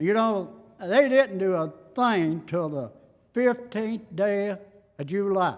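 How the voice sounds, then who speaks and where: The speaker has an Appalachian accent. The pitch shows ordinary variation. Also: man. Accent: Appalachian Southern. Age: 70s. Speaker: citizen addressing county court. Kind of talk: public comment at meeting. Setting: county fiscal court meeting. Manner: halting.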